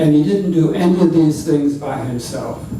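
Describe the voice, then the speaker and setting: A man's fairly even intonation, with audible room echo. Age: 70s. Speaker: civil rights pioneer. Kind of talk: personal testimony at public talk.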